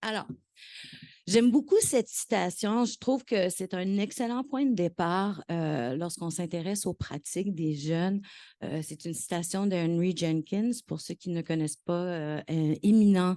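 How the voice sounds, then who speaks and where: Her voice fairly low and dark, mellow in tone, a woman speaks at a fairly slow pace with lively intonation against a quiet background, the sound dry and close with no echo. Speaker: professor. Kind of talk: conference talk. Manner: hesitant, many fillers and repetitions.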